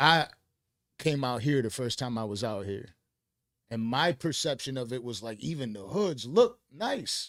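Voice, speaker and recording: An animated man with an American accent, medium pitch, lively intonation and a fairly slow pace, in a very clean recording with a silent background. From Buffalo, New York. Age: 30s. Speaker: podcast host. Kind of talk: casual chat. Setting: studio.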